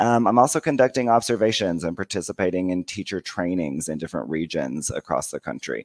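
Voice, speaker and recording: A man with an American accent speaks at a fairly quick pace with hardly any pauses, his very deep, low pitch carrying vocal fry and lively intonation. The background is quiet and the sound is dry with no echo. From United States. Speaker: bilingual educator and teacher trainer. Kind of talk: conference presentation. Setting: video call. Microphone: headset.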